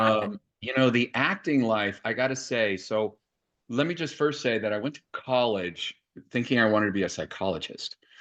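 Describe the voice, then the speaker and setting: The speaker uses an ordinary speaking voice with ordinary pitch variation at a moderate pace. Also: man, medium pitch for a man. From Los Angeles, US. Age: 60s. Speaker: yoga teacher. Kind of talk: interview.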